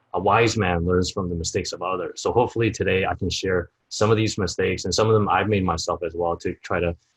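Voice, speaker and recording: Fairly low in pitch, a man speaks at a fairly quick pace with an American accent. His voice is somewhat breathy, in a dry, close sound with no echo. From United States. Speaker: sourcing expert and summit organizer. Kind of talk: interview. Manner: frequent fillers (um, you know).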